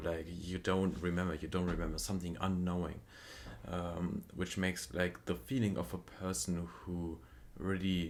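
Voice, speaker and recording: A man with a non-native accent, very deep and low pitch, and a fairly slow pace. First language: not English. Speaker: music reaction youtuber. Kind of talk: casual review commentary. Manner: halting, many fillers.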